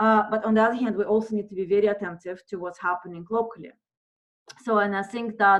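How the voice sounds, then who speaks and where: Speaking at a very fast pace with a non-native accent, a woman holds a medium pitch in a monotone, flat intonation. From monolingual non-English culture. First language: not English. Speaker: theatre professor. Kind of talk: lecture Q&A. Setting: video call. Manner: halting, many fillers.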